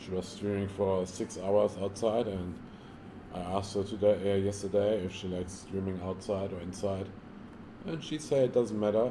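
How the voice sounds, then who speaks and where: A man speaks with a German accent at a fairly low pitch. His pace is moderate and his intonation fairly even. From Germany. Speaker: live streamer. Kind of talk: casual live-stream chat. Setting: villa in Thailand. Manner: halting, many fillers and repeats.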